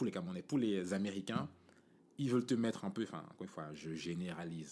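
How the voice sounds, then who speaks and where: This man has a very deep, low voice and lively intonation. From Cameroon, Yaoundé. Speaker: podcast host. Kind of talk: casual monologue. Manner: casual, many fillers.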